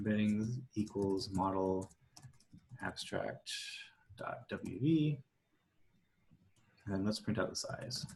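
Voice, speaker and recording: Speaking at a very slow pace with long, frequent pauses, a man's fairly low, somewhat breathy voice shows ordinary pitch variation. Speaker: data science workshop presenter. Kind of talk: tutorial. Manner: hesitant, many fillers.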